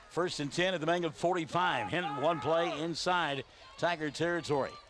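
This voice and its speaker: A man speaks with an American accent in a high pitch. His pace is moderate. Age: 60s. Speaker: play-by-play sports announcer. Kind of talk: live commentary. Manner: animated.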